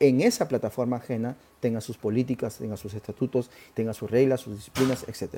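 This man's voice sits at a medium pitch with a dark, mellow tone. He talks at a fairly quick pace. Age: 40s. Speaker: marketing podcast host and consultant. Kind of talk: solo educational talk. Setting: live stream on social media.

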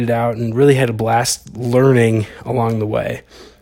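A man at medium pitch with an Upper Midwest accent, monotone, flat intonation, and a moderate pace. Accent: Upper Midwest American. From Wisconsin. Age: 20s. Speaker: podcast host, archer and videographer. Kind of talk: casual solo podcast monologue.

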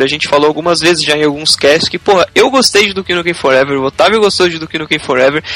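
Very fast, lively speech from a man with a fairly high pitch, amid noticeable background noise. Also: hardly any pauses. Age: 20s. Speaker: gaming podcast co-host. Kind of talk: casual chat.

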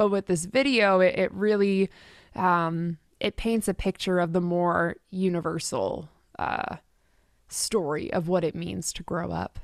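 A plain, everyday voice with a Canadian accent, fairly slow and fairly even in intonation, dry and close with no echo, over a quiet background. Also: woman, fairly low pitch for a woman. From Canada, Richmond near Vancouver. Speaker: singer-songwriter. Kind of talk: casual interview.

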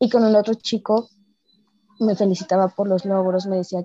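Intonation is monotone and flat as a woman talks at a fairly quick pace. The sound is dry and close, with no echo. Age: 20s. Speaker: podcast listener sharing weight-loss experience. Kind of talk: casual interview conversation.

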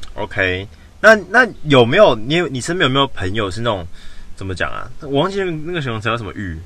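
This man's voice sits at a medium pitch, with vocal fry, big swings in loudness, very wide pitch swings, a bright, sharp tone and a fairly quick pace. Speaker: podcast co-host. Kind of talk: casual chat. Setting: in a car.

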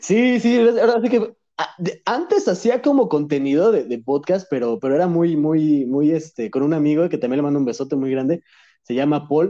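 Against a quiet background, a man with a Mexican accent speaks in a dark, mellow tone at a fairly high pitch, with very wide pitch swings. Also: moderate pace. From Mexico (moved from Madrid at 10). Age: 20s. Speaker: content creator. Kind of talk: casual chat.

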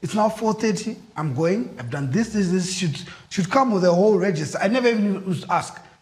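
A man's high-pitched voice at a moderate pace, with lively intonation and noticeable background noise. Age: 40s. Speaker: podcast host. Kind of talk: casual chat.

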